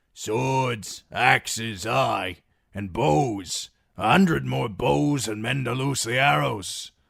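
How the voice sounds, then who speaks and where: Putting on a raspy character voice, a man speaks at a medium pitch and a very slow pace, his pitch swinging very widely. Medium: read story. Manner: blunt, practical.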